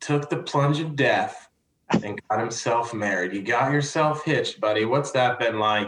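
A man is speaking. His pitch sits fairly high for a man. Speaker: podcast host. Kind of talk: casual chat. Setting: video call. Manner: animated.

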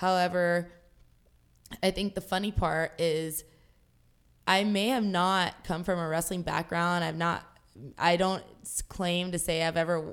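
A woman with an American accent, fairly low pitch and monotone, flat intonation, at a moderate pace on a very clean recording with a silent background. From Jacksonville, Florida. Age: 30s. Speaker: pro wrestler. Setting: seated, with a broken tailbone.

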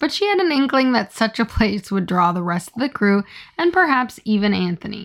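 The clip features a reading voice. It is an unforced reading voice.

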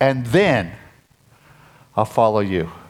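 Here a man talks at a moderate pace with a medium pitch and ordinary pitch variation. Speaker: pastor. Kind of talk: sermon. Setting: church service. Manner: gets loud when excited; animated.

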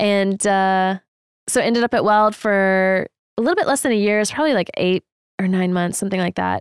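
Heard in a dry, close sound with no echo, an unremarkable speaking voice moves at a fairly quick pace with ordinary pitch variation and very even loudness. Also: woman, medium pitch for a woman. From Texas, San Antonio. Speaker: freelance photographer. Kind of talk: casual chat.

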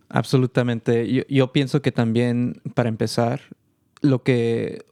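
Heard in a dry, close, echo-free and very clean recording with a silent background, a man speaks at a fairly slow pace in a flat monotone at medium pitch. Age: 20s. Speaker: studio manager. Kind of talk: interview. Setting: studio.

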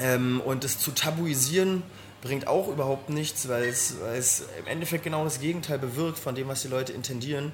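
A man with a fairly high pitch and fairly even intonation at a moderate pace, with noticeable background noise and audible room echo. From Berlin (Weißensee). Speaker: local political candidate. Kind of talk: interview.

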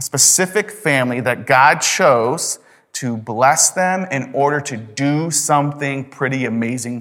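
A man speaks fairly slowly in an ordinary speaking voice, fairly high in pitch, with ordinary pitch variation. The recording is very clean, with a silent background. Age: 30s. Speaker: pastor. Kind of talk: sermon. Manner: conversational.

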